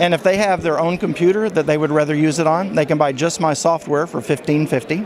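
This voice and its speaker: A man's fairly high voice at a very fast pace, with hardly any pauses, very even loudness and fairly even intonation, against noticeable background noise. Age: 70s. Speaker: software inventor demonstrating his product. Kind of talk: product demonstration interview.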